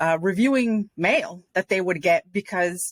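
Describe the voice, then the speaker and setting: A normal speaking voice with an American accent, delivered at a moderate pace with ordinary pitch variation. The sound is dry and close with no echo, on a very clean recording over a silent background. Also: woman. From Rhode Island, US. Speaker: nonprofit and community leader. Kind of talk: podcast interview.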